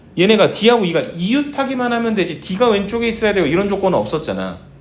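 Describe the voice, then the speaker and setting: In an animated tone with lively intonation, a man speaks amid audible room echo. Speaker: math teacher. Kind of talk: lecture. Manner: slightly slurred articulation.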